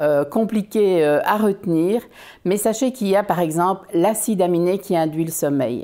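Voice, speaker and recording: Against a quiet background, a woman talks at a moderate pace with a fairly low pitch, a dark, mellow tone, and ordinary pitch variation. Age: 60s. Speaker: business owner presenting health products. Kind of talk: informative video talk. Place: home room.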